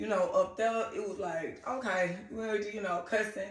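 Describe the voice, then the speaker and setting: In an American accent, a woman speaks with ordinary pitch variation. Noticeable background noise and audible room echo accompany her. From US South, Griffin, Georgia. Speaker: TV personality. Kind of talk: interview.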